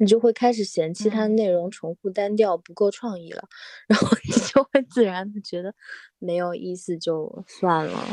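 Using a dark, mellow tone at medium pitch, a woman speaks at a moderate pace with ordinary pitch variation and big swings in loudness, in a dry, close sound with no echo. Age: 30s. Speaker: former architect now art student. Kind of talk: casual chat.

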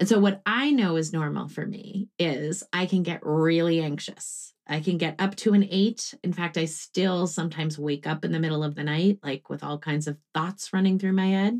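This is a woman with an unremarkable speaking voice. Her pitch varies in an ordinary way. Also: fairly low pitch for a woman, moderate pace. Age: 40s. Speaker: grief therapist and author. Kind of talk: casual interview.

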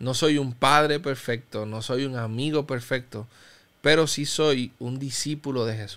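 Fairly slow in pace, a man uses a plain, everyday voice at medium pitch with ordinary pitch variation. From Cuba. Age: 30s. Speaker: pastor. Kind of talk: interview testimony.

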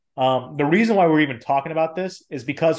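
A man speaks with ordinary pitch variation. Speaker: podcast co-host. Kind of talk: casual chat. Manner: animated.

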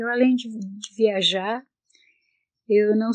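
A woman's fairly high voice moves along at a very slow pace. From Brazil, northern Paraná countryside. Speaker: retired seamstress. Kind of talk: personal life testimony. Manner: halting.

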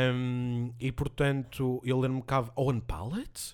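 Recorded very cleanly against a silent background, a man with an ordinary speaking voice talks at a moderate pace at a medium pitch, his intonation fairly even. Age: 20s. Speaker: language teacher. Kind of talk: casual chat. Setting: home office.

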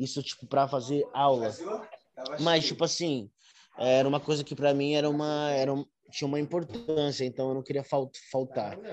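This man's voice sits at a fairly high pitch, his intonation fairly even and his pace moderate. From São Paulo, Brazil. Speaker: urban dancer and dance teacher. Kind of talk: interview. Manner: halting, with many repeated words and fillers.

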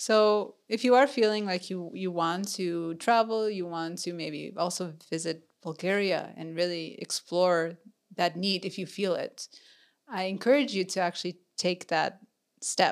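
A woman with an American accent and an unremarkable speaking voice, medium pitch, ordinary pitch variation and a fairly slow pace, on a very clean recording with a silent background. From US Midwest and Texas (Minnesota, Houston). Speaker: podcast co-host, growth marketer. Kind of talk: interview, personal story.

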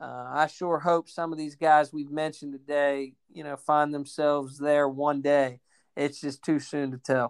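A man with an American accent speaks fairly slowly at a fairly high pitch, in a monotone, flat intonation. The recording is very clean and dry, close with no echo, over a silent background. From Maryland mountains, US. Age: 20s. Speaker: college baseball coach. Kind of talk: casual chat.

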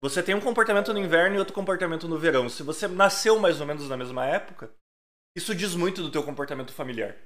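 A man with a high pitch, a very fast pace and lively intonation. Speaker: podcast host. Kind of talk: casual chat. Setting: live stream.

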